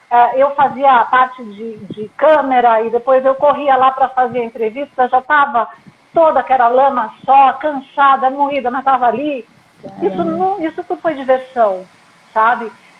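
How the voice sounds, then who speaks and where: A woman talks at a moderate pace in a high pitch. Noticeable background noise is present. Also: ordinary pitch variation. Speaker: sports broadcaster and presenter. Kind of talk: interview answer.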